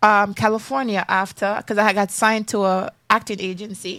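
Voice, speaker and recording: In a strong Jamaican accent, a woman talks at a moderate pace on a very clean recording with a silent background. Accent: strong Jamaican patois. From Jamaica, raised in Florida. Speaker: singer and actress, former pageant contestant. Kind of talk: interview. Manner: casual.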